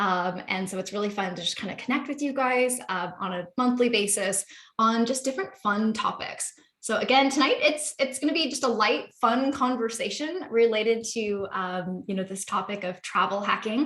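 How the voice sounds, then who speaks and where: A woman with an American accent has an ordinary speaking voice at a fairly high pitch. She talks at a moderate pace with lively intonation. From Seattle, US Pacific Northwest. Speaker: real estate investor and webinar host. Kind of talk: webinar presentation.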